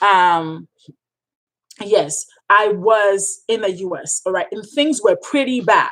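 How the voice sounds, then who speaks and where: A woman speaks very slowly with a Ghanaian accent. Her intonation is lively. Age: 30s. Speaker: freelance writer and coach. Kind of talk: live stream Q&A. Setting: live stream. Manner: animated, emphatic, repetitive.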